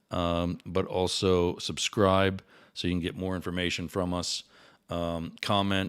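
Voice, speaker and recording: A man speaks in a very deep, low voice with monotone, flat intonation. The recording is very clean, with a silent background. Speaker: day trader and show host. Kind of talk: unscripted livestream commentary. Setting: live stream. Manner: halting, stutters and repeats words; many filler words.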